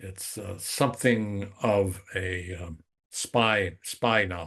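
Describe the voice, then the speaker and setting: Against a quiet background, a man with an American accent talks in a fairly low pitch, sounding somewhat breathy. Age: 80s+. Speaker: novelist and war veteran. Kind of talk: interview.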